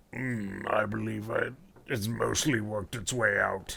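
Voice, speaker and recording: A raspy, put-on character voice at a moderate pace. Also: man, fairly low pitch for a man. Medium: actual play.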